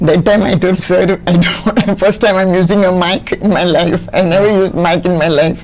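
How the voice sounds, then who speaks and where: Over noticeable background noise, a woman speaks at medium pitch in a monotone, flat way with hardly any pauses. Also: moderate pace, very even loudness. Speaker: retired sports teacher and volleyball coach. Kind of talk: interview. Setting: studio.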